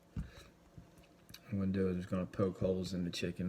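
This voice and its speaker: A soft-spoken man with a very deep, low voice, recorded very cleanly against a silent background. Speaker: home cooking show host. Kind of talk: cooking tutorial.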